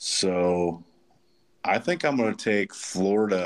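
Using a very slow pace, a man with an American accent speaks at a fairly low pitch with ordinary pitch variation. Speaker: podcast host. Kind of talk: casual sports podcast chat.

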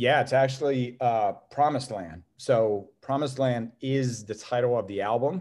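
With an Ohio accent, a man speaks at medium pitch and a moderate pace, his pitch varying normally and hardly any pauses breaking his speech. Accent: Midwestern American (Ohio). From northeast Ohio, Youngstown. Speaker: music fan, longtime friend of host. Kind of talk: casual chat. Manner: halting, frequent repetitions.

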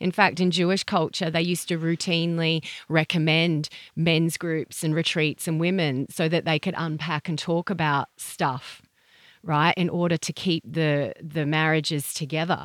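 Speaking at a moderate pace in an Australian accent, a woman keeps a fairly low pitch and monotone, flat intonation, recorded very cleanly with a silent background and a dry, close sound with no echo. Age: 40s. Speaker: sex educator. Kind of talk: interview.

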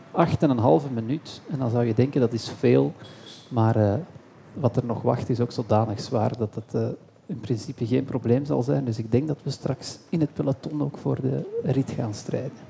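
This man has a medium pitch, a dark, mellow tone and vocal fry. He talks at a moderate pace with ordinary pitch variation. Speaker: cycling commentator and talk show host. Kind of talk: casual chat; live commentary. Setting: café with live audience.

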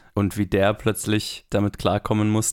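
Very clean, with a silent background, the recording captures a man's fairly low voice. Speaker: film podcast co-host. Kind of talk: casual chat. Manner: low-energy.

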